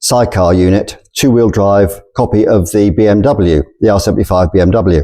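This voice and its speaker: With an English accent, a man talks at a moderate pace in a fairly low pitch with a dark, mellow tone. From England. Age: 60s. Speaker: storyteller. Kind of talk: personal storytelling.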